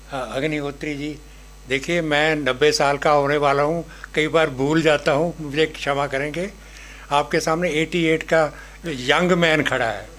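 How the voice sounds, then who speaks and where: Noticeable background noise sits behind a man whose fairly high voice has monotone, flat intonation. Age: 80s+. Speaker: speaker at book launch. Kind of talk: public speech. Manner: halting.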